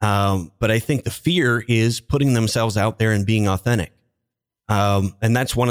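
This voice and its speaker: On a very clean recording with a silent background, a man with an ordinary speaking voice talks at a moderate pace with ordinary pitch variation. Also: dry, close sound with no echo. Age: 40s. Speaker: LinkedIn marketing consultant, former IT business owner. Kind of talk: interview.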